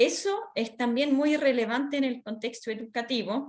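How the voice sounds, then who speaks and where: On a very clean recording with a silent background, a woman with a high pitch speaks at a fairly slow pace. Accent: Swiss. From Switzerland. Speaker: workshop speaker on children's rights. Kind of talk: training lecture. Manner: hesitant, many fillers.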